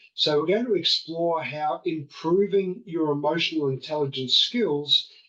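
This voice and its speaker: A man speaks slowly, at a fairly slow pace, with a high pitch. His tone is bright and sharp. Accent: Australian. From Australia. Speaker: podcast host.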